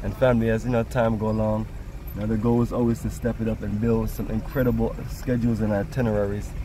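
A man's fairly quick speech, dry with no echo, over noticeable background noise. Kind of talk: casual vlog chat. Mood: proud, enthusiastic. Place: car. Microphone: phone near.

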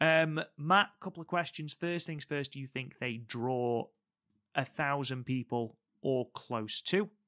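This man has a bright, sharp tone and an English accent, talking at a fairly slow pace. The sound is dry and close with no echo, against a quiet background. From England. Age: 30s. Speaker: wrestling podcast host. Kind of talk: casual podcast chat and wrestling review.

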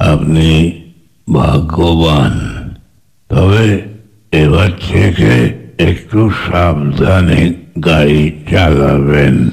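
A man puts on a raspy character voice. It is very deep and low, delivered at a very slow pace. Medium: audio drama.

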